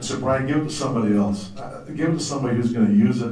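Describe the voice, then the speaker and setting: A man talks at a very fast pace. The recording carries noticeable background noise and audible room echo. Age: 60s. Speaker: former professional golfer, fellowship speaker. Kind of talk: testimony.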